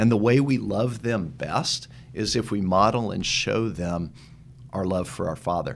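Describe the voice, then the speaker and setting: A man with an American accent speaks in a plain, everyday voice, fairly low in pitch with ordinary pitch variation. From Texas, Dallas. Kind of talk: interview.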